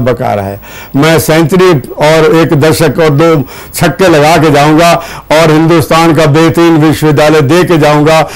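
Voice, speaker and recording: The man's voice sits at a fairly high pitch with ordinary pitch variation. Noticeable background noise is present. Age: 80s+. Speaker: university chancellor. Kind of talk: TV interview. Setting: studio.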